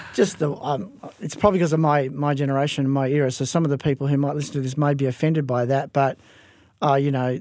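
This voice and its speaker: Speaking very fast in an Australian accent, a man with a fairly high pitch keeps his intonation fairly even on a very clean recording with a silent background. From Western Australia, Perth. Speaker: pastor. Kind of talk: interview. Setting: studio.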